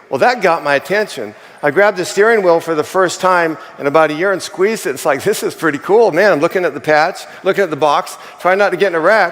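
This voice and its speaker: This animated voice races along at a very fast pace with ordinary pitch variation. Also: man, high pitch for a man. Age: 60s. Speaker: chimney sweep sharing product testimonial. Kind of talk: testimony.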